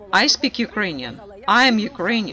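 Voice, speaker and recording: A woman's high-pitched voice at a moderate pace, with very wide pitch swings and noticeable background noise. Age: 70s. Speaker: pensioner. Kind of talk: street interview. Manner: animated.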